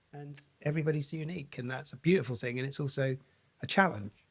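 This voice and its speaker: Somewhat breathy, a man with a southern English accent speaks at a fairly quick pace and fairly high pitch with ordinary pitch variation. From Basingstoke, England. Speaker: mental health podcaster and wellbeing coach. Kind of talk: interview answer.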